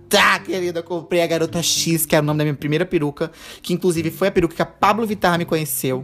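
An animated, very fast man's voice, high in pitch, with music in the background. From Brazil, interior of Rondônia (Ariquemes). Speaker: podcast host and drag queen. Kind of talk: casual solo monologue. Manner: animated, frequent laughter.

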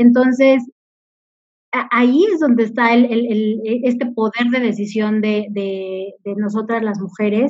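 In an ordinary speaking voice, a woman talks at a fairly slow pace with fairly high pitch and fairly even intonation. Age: 40s. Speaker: corporate communications director. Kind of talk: interview.

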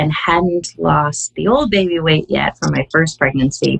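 At a fairly slow pace, a woman talks in an ordinary speaking voice with a fairly low pitch. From Canada. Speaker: wellness app community coach. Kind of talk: casual interview.

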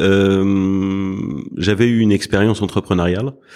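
Speech comes at a fairly slow pace with fairly even intonation. It is a very clean recording with a silent background. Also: man. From Paris, France. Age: 40s. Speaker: private equity fund president. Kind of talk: interview. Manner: halting, many fillers and repetitions.

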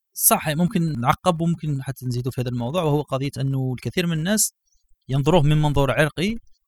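Fairly high in pitch and somewhat breathy, a man talks at a fairly quick pace with ordinary pitch variation. The recording is very clean, with a silent background and a dry, close sound with no echo. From Algeria. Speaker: podcast host. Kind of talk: casual chat.

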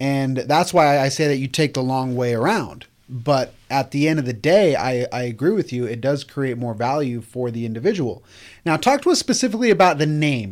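Here a man talks at a moderate pace in an ordinary speaking voice. His pitch sits fairly high. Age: 30s. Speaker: podcast host, real estate agency owner. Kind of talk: casual interview. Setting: studio.

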